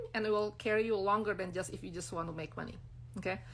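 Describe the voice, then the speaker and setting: Speaking very fast with an Indonesian accent, a woman uses a medium pitch and vocal fry. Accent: non-native English, Indonesian. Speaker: brand designer and business coach. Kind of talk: live-stream talk to followers. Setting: Instagram live stream. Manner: casual, many fillers.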